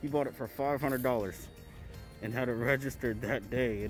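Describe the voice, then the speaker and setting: Music plays in the background as a man talks at a medium pitch. He sounds excited and moves at a fairly quick pace. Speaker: car enthusiast. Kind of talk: casual talk to camera. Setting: muffled, speaking through a face mask.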